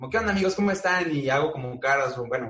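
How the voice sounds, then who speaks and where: A man talks at a very fast pace, somewhat breathy. His pitch variation is ordinary. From Mexico. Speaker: animator and voice-over artist. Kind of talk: casual chat.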